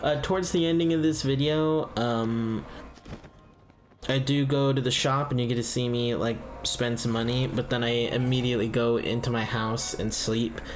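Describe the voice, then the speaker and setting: Music plays behind a man speaking at a moderate pace and medium pitch, with ordinary pitch variation. His loudness stays very even, and room echo is audible. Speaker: gaming youtuber. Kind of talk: let's play commentary. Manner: hesitant, many fillers.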